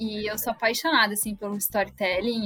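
Speaking at a fairly quick pace, a woman with a fairly high pitch is recorded with a dry, close sound with no echo, though noticeable background noise is present. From Rio Grande do Sul, Brazil. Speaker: HR business partner. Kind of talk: interview.

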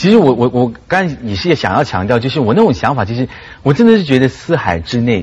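A man speaks at a fairly quick pace, and his pitch swings very widely. His voice is somewhat breathy. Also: medium pitch for a man. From Malaysia. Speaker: lecturer and TV host. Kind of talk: talk show discussion.

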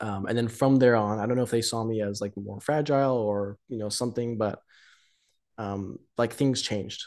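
The speaker has an ordinary speaking voice, fairly even intonation, and a moderate pace. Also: man, medium pitch for a man. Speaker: date partner, guest. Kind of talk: casual chat.

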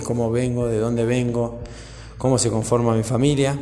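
A man with a Rioplatense accent speaks at a moderate pace and medium pitch. Music plays in the background, and there is audible room echo. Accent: Argentine Rioplatense Spanish. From Argentina, Buenos Aires province. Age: 30s. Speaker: dog groomer and podcaster. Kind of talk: personal monologue. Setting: partner's workshop. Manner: halting, many fillers.

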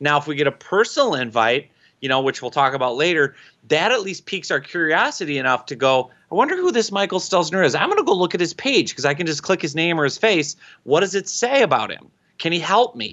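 A man speaks very fast in a high voice with an Upper Midwest accent. His intonation is lively. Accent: Upper Midwest American. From Minnesota. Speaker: LinkedIn marketing expert and author. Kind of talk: interview. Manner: animated.

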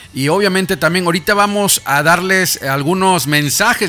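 Over noticeable background noise, a man with a high pitch talks at a fairly quick pace in an animated tone. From Mexico, Monterrey. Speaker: radio host. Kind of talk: live radio interview.

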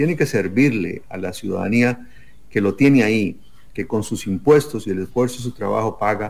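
An unremarkable speaking voice at a moderate pace. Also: man. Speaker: presidential candidate. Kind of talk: political debate.

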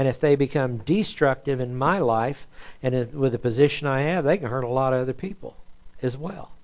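A man speaks with fairly high pitch. His pace is moderate. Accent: American. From Oklahoma City, US. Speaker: pastor. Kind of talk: sermon.

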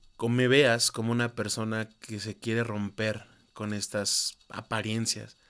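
A man speaks at a very slow pace and medium pitch. The recording is very clean, with a silent background. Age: 20s. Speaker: podcaster. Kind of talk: personal monologue.

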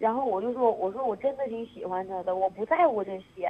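Medium-speed female speech, fairly high in pitch, with an ordinary amount of pitch variation. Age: 20s. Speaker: radio call-in caller. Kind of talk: emotional confession on phone-in. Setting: phone call.

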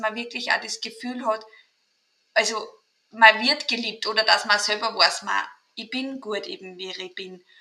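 A woman with an Austrian accent at a moderate pace. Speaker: mental trainer and kinesiologist. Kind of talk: interview.

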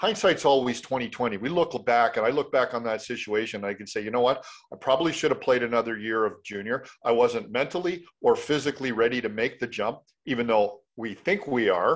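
In a Canadian accent, a man with an ordinary speaking voice talks at a fairly quick pace and a medium pitch. His pitch varies in an ordinary way over a quiet background. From Canada, Mississauga, Ontario. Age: 50s. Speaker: former hockey player, mindset coach. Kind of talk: interview.

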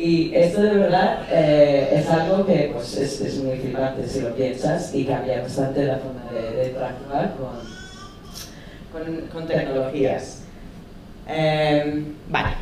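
In an English accent, a woman with a very deep, low pitch speaks at a very slow pace with ordinary pitch variation, amid noticeable background noise and audible room echo. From English-speaking country. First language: English (speaking Spanish). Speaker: UX and voice interface designer. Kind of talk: conference talk. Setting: stage with audience.

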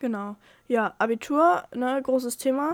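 Her pitch is high, with ordinary pitch variation. The woman is recorded very cleanly against a silent background. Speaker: podcast co-host. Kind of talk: casual chat. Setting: separate rooms. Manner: halting.

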